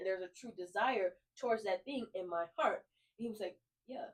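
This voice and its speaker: At a fairly quick pace, a woman speaks in an animated tone with a fairly high pitch. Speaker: podcast co-host. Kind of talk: casual faith chat. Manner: fast.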